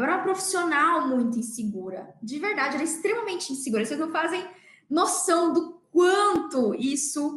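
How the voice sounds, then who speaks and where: Audible room echo surrounds a woman as she talks. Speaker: dentist and podcast host. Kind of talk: motivational talk. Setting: livestream. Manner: animated.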